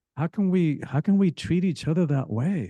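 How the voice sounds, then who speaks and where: With a Spanish accent and a dark, mellow tone, a man speaks at a moderate pace in a dry, close recording with no echo and a quiet background. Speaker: author and spiritual teacher. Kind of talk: podcast interview.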